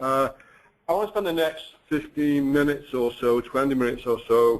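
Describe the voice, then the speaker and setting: Here a man with a British accent speaks at a moderate pace, his pitch fairly high and ordinary in its variation. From UK. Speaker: company finance chief. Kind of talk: webinar presentation.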